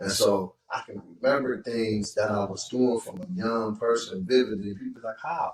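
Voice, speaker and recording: With big swings in loudness, a man talks at a moderate pace and medium pitch in an unremarkable speaking voice. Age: 50s. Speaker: re-entry program director, former prisoner. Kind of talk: casual interview chat.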